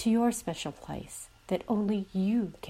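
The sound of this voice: An unforced reading voice and its fairly even intonation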